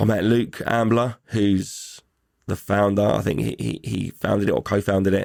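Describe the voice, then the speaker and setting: An English accent with vocal fry and a dark, mellow tone, dry and close with no echo, in a very clean recording with a silent background. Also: man. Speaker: podcast host. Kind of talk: casual chat. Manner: animated.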